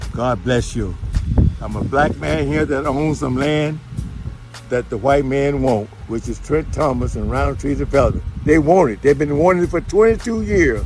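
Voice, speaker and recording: A man with an American accent at a moderate pace, music playing in the background. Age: 80s+. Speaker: landowner in a land dispute. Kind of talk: testimony.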